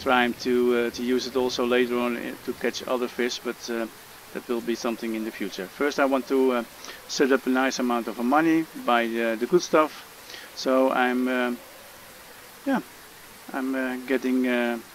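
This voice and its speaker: Noticeable background noise sits behind a man speaking at a moderate pace. His intonation is monotone and flat, with long, frequent pauses. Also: medium pitch for a man. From Netherlands. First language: Dutch. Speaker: gaming youtuber. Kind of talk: game tutorial. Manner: halting, many fillers.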